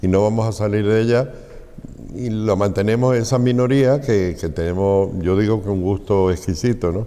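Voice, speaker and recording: A man with a fairly low pitch and ordinary pitch variation talks against noticeable background noise. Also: moderate pace. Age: 70s. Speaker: flamenco society president. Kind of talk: interview.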